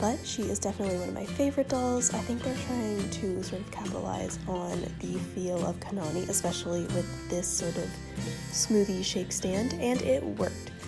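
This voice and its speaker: A quiet woman's voice at a moderate pace, with music in the background. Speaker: doll collector and video maker. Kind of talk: casual talk to camera.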